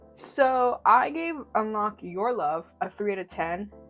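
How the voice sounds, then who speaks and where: Music plays in the background as the voice makes very wide pitch swings. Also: woman. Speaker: TV series reviewer. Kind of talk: casual talk to camera. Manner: rambling, stuttering.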